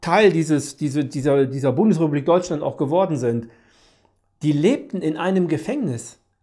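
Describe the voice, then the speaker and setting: A man's fairly high-pitched voice with lively intonation against a quiet background. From Germany. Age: 50s. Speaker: peace activist; interviewee, commentator. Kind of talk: monologue to camera; interview answer. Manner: halting, with frequent repetitions. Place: home room.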